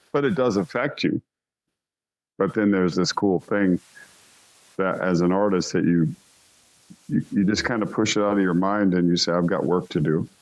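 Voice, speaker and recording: Pausing long and often, a man with a fairly low voice speaks at a moderate pace, with ordinary pitch variation, very even loudness and a quiet background. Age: 60s. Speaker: rock singer. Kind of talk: interview.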